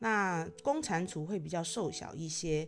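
Music plays in the background as a woman speaks at a fairly slow pace. Her pitch is fairly low, with ordinary pitch variation. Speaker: podcast host. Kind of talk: casual monologue. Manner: hesitant, many filler particles.

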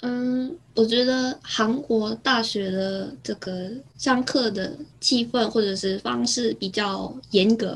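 A woman with a Korean accent speaks at a very slow pace in a somewhat breathy voice. Her pitch is fairly high and varies in an ordinary way. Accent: Korean-accented Mandarin. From South Korea, near Busan. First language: Korean (speaking Chinese). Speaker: former exchange student. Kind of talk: casual interview. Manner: halting, many fillers.

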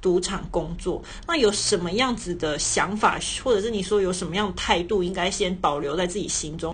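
A woman with a somewhat breathy voice speaks at a moderate pace with audible room echo. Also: medium pitch for a woman, ordinary pitch variation. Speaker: podcast host. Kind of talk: casual chat.

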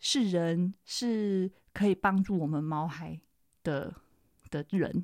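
A woman talks at a very slow pace in a medium pitch. Her tone is dark and mellow, and the recording is very clean with a silent background. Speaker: podcast host and veterinarian. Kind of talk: solo podcast monologue. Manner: casual, with frequent fillers.

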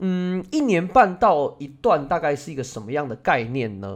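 With a Taiwanese accent, a man speaks at a fairly slow pace. His pitch swings very widely. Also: very clean recording, silent background. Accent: Taiwanese Mandarin. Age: 30s. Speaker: Go teacher and podcast host. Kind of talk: casual personal monologue.

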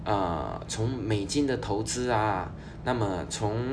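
A man's voice comes with audible room echo. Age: 30s. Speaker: finance podcast host. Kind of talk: solo podcast monologue. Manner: casual with frequent fillers.

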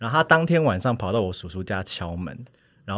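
A man speaks very rapidly, captured on a very clean recording where the background is silent. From Taiwan, Hsinchu (Hakka family). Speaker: podcast guest. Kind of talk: casual chat.

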